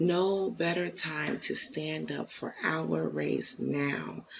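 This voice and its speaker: A woman speaks in a soft-spoken voice. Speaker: YouTube commentator. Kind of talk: casual reaction commentary. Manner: soft-spoken, low; halting, many fillers.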